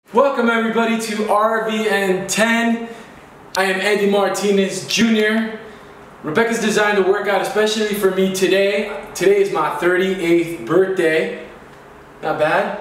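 A man's high voice at a moderate pace, with fairly even intonation, audible room echo and light background noise. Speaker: fitness instructor. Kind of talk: casual workout tutorial. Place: home room. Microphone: camera far.

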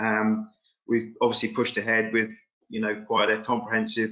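Against a quiet background, a man with a bright, sharp tone speaks at a moderate pace in a monotone, flat intonation. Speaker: farm host on a webinar panel. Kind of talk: interview answer. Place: home room. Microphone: video call.

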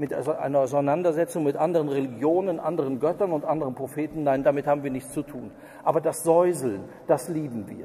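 The intonation stays fairly even and the pace is fairly quick. The tone is dark and mellow. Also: man, fairly high pitch for a man. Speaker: preacher. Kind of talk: sermon. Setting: church. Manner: formal, earnest, lecturing with pointed criticism.

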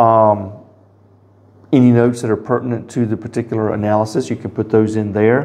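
The pace is moderate. The speaker is a man. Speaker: product demonstrator. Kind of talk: tutorial. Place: office.

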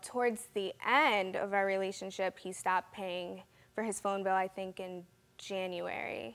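A woman talks at a moderate pace. Her pitch is medium.

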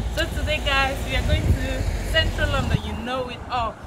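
There is loud background noise behind a woman speaking. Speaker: vlogger. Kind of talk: casual vlog chat. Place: street.

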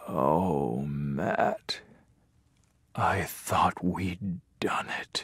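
Using a put-on character voice, a man whispers. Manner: whispering.

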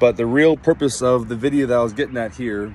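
A man speaks with a dry sound and no echo. Light background noise is present. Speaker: vlogger. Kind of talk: casual vlog chat. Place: street. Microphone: earbuds.

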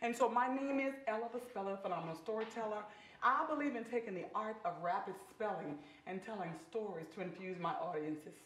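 A woman talks at a fairly quick pace, with audible room echo around her voice. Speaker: talk show guest, storyteller. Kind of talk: interview answer. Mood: upbeat, a bit giggly. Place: studio.

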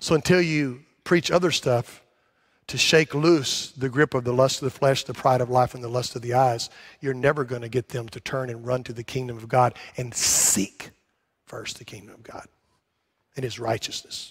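Over a quiet background, a man talks at a moderate pace. His intonation stays fairly even while his loudness swings widely. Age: 60s. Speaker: pastor. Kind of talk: sermon. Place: church.

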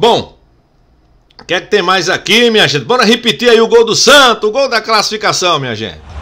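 A man speaks in a raised, projected voice with a high pitch and a bright, sharp tone. His intonation is lively and his pace moderate. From Pernambuco, Brazil. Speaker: sports commentator and YouTuber. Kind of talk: angry rant about football authorities, sarcastic and indignant, addressing the STJD. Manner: indignant, sarcastic, emphatic, repeating for emphasis; outspoken, opinionated, informal. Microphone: studio mic.

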